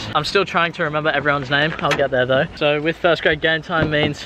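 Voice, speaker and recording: This man talks very fast in an Australian accent, his pitch fairly high. Noticeable background noise sits behind him. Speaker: vlogger, aspiring footballer. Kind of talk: casual vlog. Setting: in a car. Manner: animated.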